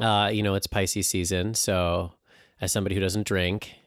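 On a very clean recording with a silent background, a man speaks with monotone, flat intonation. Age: 30s. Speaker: podcast host and astrologer. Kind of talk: casual chat. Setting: studio.

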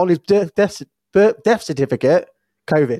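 At a fairly slow pace, a man with a British accent and a high pitch speaks with very wide pitch swings and a dark, mellow tone. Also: dry, close sound with no echo. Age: 30s. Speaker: podcast host. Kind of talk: casual interview chat.

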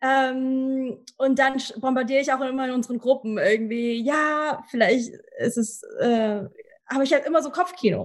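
A high-pitched woman's voice with ordinary pitch variation, at a fairly slow pace. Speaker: soul singer. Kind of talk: casual interview. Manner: halting, many fillers; lively, energetic.

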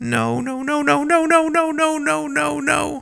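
A man's put-on character voice, extremely high in pitch, bright and sharp in tone, with vocal fry, a fairly slow pace and fairly even intonation

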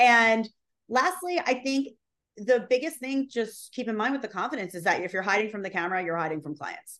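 Speaking at a fairly quick pace, a woman with a fairly high pitch makes very wide pitch swings. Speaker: social video strategist and on-camera coach. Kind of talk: casual interview chat about video tips. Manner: fast talker, high energy.

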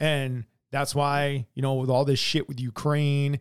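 On a very clean recording with a silent background, a man with an American accent and a fairly high pitch speaks in an unremarkable speaking voice. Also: dry, close sound with no echo. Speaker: podcast co-host. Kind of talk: casual profane political chat. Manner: blunt, heavily profane, teasing.

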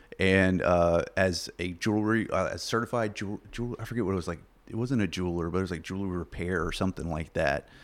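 A man talks at a very fast pace with a Southern US accent. His pitch is very deep and low, and his intonation is fairly even. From US South, southeast Arkansas. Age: 30s. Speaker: podcast guest. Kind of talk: casual chat.

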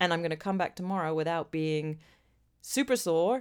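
In a very clean recording with a silent background, a woman with an unremarkable speaking voice talks at a moderate pace and fairly low pitch with ordinary pitch variation. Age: 40s. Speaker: podcast co-host. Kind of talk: casual chat.

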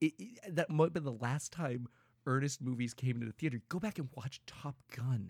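At a moderate pace, a man speaks in a somewhat breathy voice at a medium pitch. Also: ordinary pitch variation, dry, close sound with no echo. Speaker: podcast co-host. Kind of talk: casual chat.

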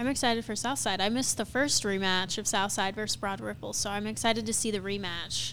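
Vocal fry at a very fast pace with hardly any pauses. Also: woman, medium pitch for a woman, ordinary pitch variation. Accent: American. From US Midwest, Cincinnati. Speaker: podcast helper. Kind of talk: casual chat.

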